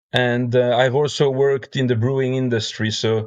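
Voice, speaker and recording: A man speaks in a French accent with a medium pitch. His pace is moderate and his intonation fairly even. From Belgium. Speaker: brewer and beer judge. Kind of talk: podcast interview. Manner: hesitant, many fillers.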